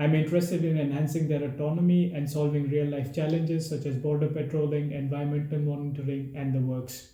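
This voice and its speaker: Somewhat breathy and dark, mellow in tone, a man with an Indian accent speaks at a fairly high pitch with monotone, flat intonation. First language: Hindi. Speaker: travel vlogger. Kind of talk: casual Q&A monologue.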